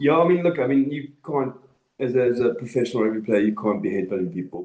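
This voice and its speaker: A man with a South African accent speaks at a very fast pace. His tone is dark and mellow, and his intonation is lively. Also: medium pitch for a man. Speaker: rugby podcast co-host. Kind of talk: casual chat. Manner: animated.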